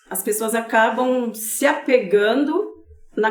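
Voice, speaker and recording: With audible room echo and noticeable background noise, a woman speaks at a fairly high pitch with fairly even intonation. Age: 50s. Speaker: advocate for elderly caregivers. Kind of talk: podcast interview.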